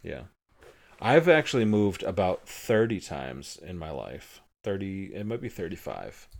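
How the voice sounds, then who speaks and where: A voice with an American accent and vocal fry moves at a moderate pace through very wide pitch swings, recorded very cleanly against a silent background. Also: man, fairly low pitch for a man. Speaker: podcast host. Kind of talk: casual chat with his young son. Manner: patient, talks to a child.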